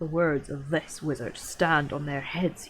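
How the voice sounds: A woman does a put-on character voice, growling and gruff. Her pitch is very deep and low, her pace moderate.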